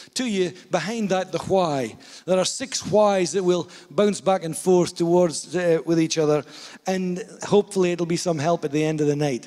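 Against a quiet background, a man talks at a moderate pace in a high pitch with ordinary pitch variation. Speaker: pastor. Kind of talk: sermon. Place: hall. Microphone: handheld.

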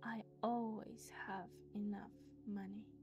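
Music plays in the background as a woman speaks at a very slow pace in a calm tone. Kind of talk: affirmation reading. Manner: slow, calm.

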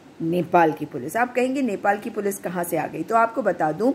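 Over light background noise, a woman speaks at a fairly slow pace with lively intonation. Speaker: political commentator. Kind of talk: news commentary vlog. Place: home room. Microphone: phone near.

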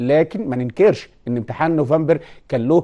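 This voice has a dark, mellow tone, a moderate pace and ordinary pitch variation, set against a quiet background. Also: man. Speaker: teacher presenting a TV lesson. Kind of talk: lecture. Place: studio. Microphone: lapel.

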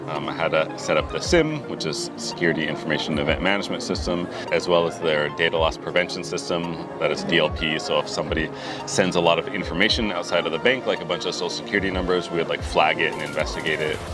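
A man at a very fast pace over clear music in the background. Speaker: interview guest. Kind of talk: interview answer. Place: street.

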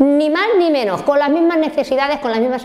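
With lively intonation, a woman talks at a high pitch and a fairly quick pace. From Spain, Valencia region (Oliva); Valencia, Spain. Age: 60s. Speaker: factory worker and trade unionist; factory worker. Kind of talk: life story interview. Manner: halting. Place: home room.

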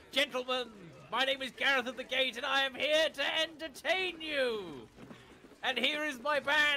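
A man talks at a moderate pace with an extremely high pitch, his voice raised and projected. His intonation stays fairly even over noticeable background noise. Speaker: gamer playing co-op with the streamer. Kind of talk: casual chat.

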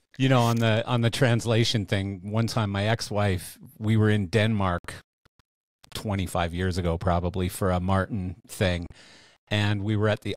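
At a moderate pace, a man with a fairly low pitch speaks with fairly even intonation, in a dry recording with no echo and a quiet background. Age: 60s. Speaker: podcast host. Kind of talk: casual interview chat. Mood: relaxed, anecdotal storytelling. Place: home room. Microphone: studio mic.

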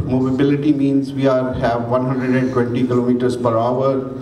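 Male speech at a rather unhurried pace, light noise in the background, room echo plainly audible. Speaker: presenter. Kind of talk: conference presentation. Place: hall. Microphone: podium.

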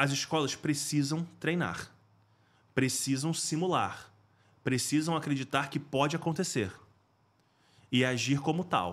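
The speaker moves at a fairly slow pace with long, frequent pauses, ordinary pitch variation and very even loudness. The recording is very clean, with a silent background. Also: man, fairly high pitch for a man. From Rio de Janeiro, Brazil. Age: 40s. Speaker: school safety specialist, former firefighter. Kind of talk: interview.

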